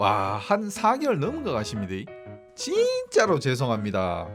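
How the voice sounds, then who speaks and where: A man talks at a very slow pace while music sounds in the background. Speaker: amateur road cyclist, video creator. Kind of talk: casual talk to camera.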